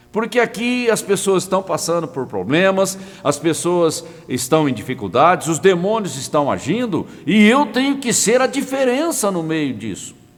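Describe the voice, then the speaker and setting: A man at a high pitch with very wide pitch swings, a fairly slow pace and hardly any pauses, amid audible room echo and noticeable background noise. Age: 60s. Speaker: pastor. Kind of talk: sermon. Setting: online broadcast.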